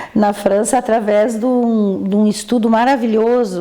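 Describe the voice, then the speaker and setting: A woman at a medium pitch speaks with ordinary pitch variation over noticeable background noise. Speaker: physician. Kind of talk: interview. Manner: halting.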